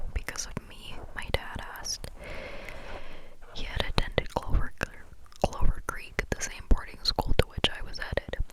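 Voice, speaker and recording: Long, frequent pauses break up whispered speech at a moderate pace. Noticeable background noise lies behind it. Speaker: ASMR creator. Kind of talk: ASMR book reading.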